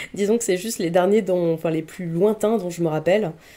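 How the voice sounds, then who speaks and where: A woman speaks at a fairly low pitch. Her pitch varies in an ordinary way. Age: 30s. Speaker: film columnist. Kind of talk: casual interview. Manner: hesitant, many fillers.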